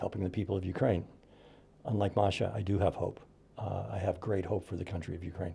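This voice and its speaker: A man with an American accent, fairly low pitch, dark, mellow tone, vocal fry and a very fast pace. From US Midwest, Indiana. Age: 60s. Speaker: podcast host. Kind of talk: casual chat.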